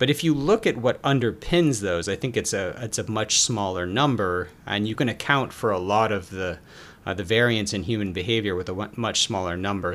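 Ordinary pitch movement at a moderate tempo in an unremarkable speaking voice. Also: man. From US South, Atlanta, Georgia. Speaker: behavioral finance author. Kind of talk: interview.

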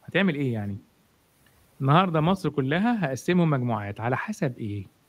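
Very wide pitch swings from a man at a fairly quick pace. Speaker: marketing expert. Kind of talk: live interview talk. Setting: live stream online.

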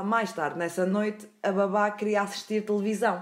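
A woman with a European Portuguese accent, medium pitch and a moderate pace. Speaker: podcast host. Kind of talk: storytelling.

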